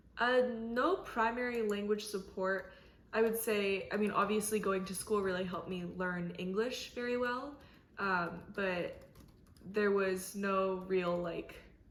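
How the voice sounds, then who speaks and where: With an American accent, this voice moves at a fairly slow pace with fairly even intonation amid audible room echo. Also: woman, medium pitch for a woman. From South Korea, then US from age six. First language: Korean. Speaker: college student interviewee. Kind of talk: interview.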